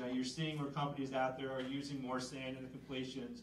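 Delivered at a very fast pace in an American accent, the speech carries audible room echo and light background noise. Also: man. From central Pennsylvania. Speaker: extension educator. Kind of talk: public presentation. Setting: room with live audience. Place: hall.

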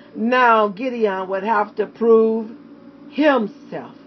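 Over music in the background, a woman with a fairly high pitch speaks at a very slow pace. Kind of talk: sermon / Bible character study.

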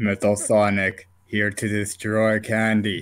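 A put-on character voice from a man, fairly low in pitch, at a fairly slow pace. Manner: stiff, haughty, mechanical.

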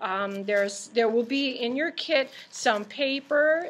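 A woman with a high pitch talks, her pitch varying in an ordinary way. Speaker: presenter. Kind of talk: tutorial. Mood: warm, friendly. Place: classroom. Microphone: webcam.

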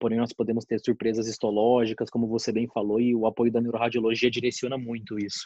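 A man with a dark, mellow tone speaks very fast with hardly any pauses, his intonation monotone and flat. The sound is dry, with no echo. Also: quiet background. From Mato Grosso, Brazil. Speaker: oncologist, session moderator; session moderator. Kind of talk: casual discussion. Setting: online video call. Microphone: video call.

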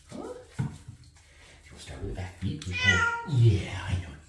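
The recording has audible room echo. Loud background noise runs behind it. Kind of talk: baby talk to a pet. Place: bathroom.

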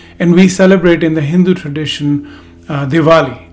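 Faint music plays in the background as a man speaks at a moderate pace with fairly even intonation. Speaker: speaker. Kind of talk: talk. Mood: calm, warm. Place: home room.

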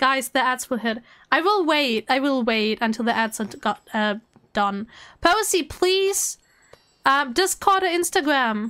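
Her high-pitched voice is raised and projected, bright and sharp in tone, swinging very widely in pitch at a fairly slow pace. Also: very clean recording, silent background. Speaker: video game streamer. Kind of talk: live stream chat. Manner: animated; loud.

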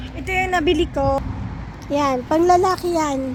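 Recorded with a dry sound and no echo, a woman speaks at a moderate pace over noticeable background noise. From Philippines. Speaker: vlogger. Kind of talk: casual vlog chat. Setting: outdoors by a river. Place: waterside. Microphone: phone near.

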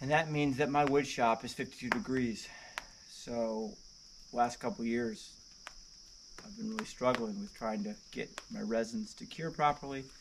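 A man talks at a moderate pace with very wide pitch swings over noticeable background noise. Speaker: homeowner woodworking vlogger. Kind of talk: casual vlog chat. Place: open country.

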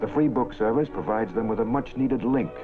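Clear background music accompanies a male speaker. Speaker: newsreel narrator. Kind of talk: documentary newsreel narration. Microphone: old recording.

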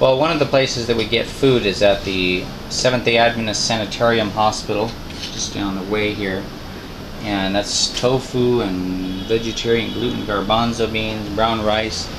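There is noticeable background noise. A man speaks at a moderate pace. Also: fairly low pitch for a man, fairly even intonation. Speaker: vlogger caring for elderly friend. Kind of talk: casual talk to camera. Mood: earnest, reflective.

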